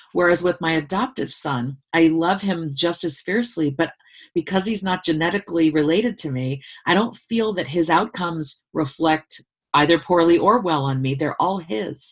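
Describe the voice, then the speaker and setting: Speaking at a moderate pace, a woman with an unremarkable speaking voice keeps a fairly low pitch with ordinary pitch variation. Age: 50s. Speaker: author and former university dean. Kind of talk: casual interview.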